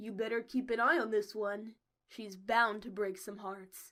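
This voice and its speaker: A woman's put-on character voice at a fairly high pitch, with fairly even intonation and big swings in loudness. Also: moderate pace. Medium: read story. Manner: casual, flirtatious.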